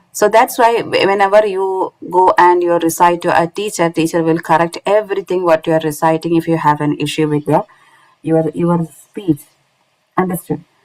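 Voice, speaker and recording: In a dry, close recording with no echo, a woman with a non-native accent speaks at a moderate pace, her fairly low voice keeping a fairly even intonation. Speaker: Quran recitation teacher. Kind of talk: online lecture. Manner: halting, many fillers.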